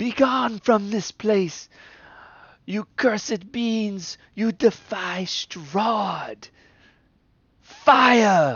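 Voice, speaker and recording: In a put-on character voice with a fairly high pitch, the speaker goes very slowly, with long, frequent pauses. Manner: commanding, imperious.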